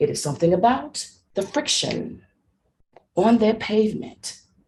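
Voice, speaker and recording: Somewhat breathy and animated, the voice moves at a fairly slow pace with an American accent. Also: woman. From Tennessee. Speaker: speech contestant. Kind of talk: contest speech.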